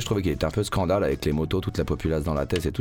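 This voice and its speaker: A man at a very fast pace with vocal fry. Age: 30s. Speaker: radio host. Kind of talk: casual chat.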